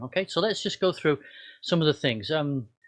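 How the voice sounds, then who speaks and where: A man with a northern English accent talks with fairly high pitch and lively intonation. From northern England, Cumbria and Wigan. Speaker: pastor. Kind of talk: personal talk to congregation. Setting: video recording. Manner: halting, many fillers.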